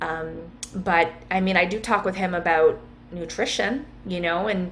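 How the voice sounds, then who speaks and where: A woman at a fairly slow pace, with music in the background and audible room echo. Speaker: wellness coach. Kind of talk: interview.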